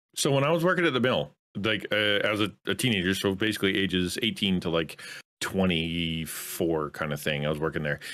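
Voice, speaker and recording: This man has a Canadian accent, a very deep, low voice, lively intonation and a moderate pace. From Canada. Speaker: content creator. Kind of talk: casual chat. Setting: video call. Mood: relaxed, joking. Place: home room. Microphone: studio mic.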